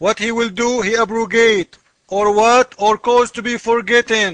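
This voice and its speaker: Raised and projected, a man's extremely high voice comes at a very slow pace with a dry, close sound and no echo. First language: not English. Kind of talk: commentary on a comment, screen walkthrough. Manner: animated.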